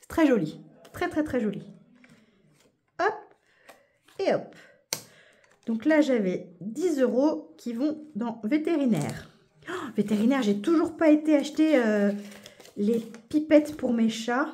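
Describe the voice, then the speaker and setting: The voice moves at a very slow pace with long, frequent pauses, very wide pitch swings and big swings in loudness. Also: woman, high pitch for a woman. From Paris region, France. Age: 40s. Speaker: budgeting YouTuber. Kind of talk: casual chat. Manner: animated.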